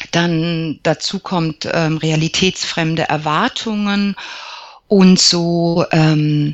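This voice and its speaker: At a very slow pace, a woman with a fairly low pitch speaks with fairly even intonation. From Germany, Lower Franconia (Aschaffenburg). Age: 40s. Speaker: psychologist and alternative practitioner. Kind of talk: interview. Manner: hesitant, frequent fillers.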